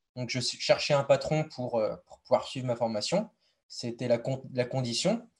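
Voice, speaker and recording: The man talks at a fairly slow pace, his loudness rising and falling in big swings. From western France, Deux-Sèvres. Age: 20s. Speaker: apprentice livestock farmer. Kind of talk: interview. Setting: live stream.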